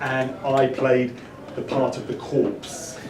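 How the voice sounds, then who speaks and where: A man with an English accent speaks amid noticeable background noise and audible room echo. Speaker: speaker. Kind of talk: talk to an audience. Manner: halting.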